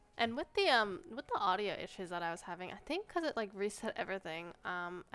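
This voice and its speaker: A soft-spoken woman at a medium pitch, her intonation lively. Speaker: gaming youtuber. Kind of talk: casual gameplay commentary. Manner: quiet. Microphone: sensitive mic, possible static, may be quiet.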